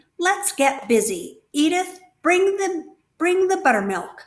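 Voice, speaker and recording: A woman puts on a character voice at an extremely high pitch. She talks at a fairly slow pace. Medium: read story. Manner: brisk, hearty.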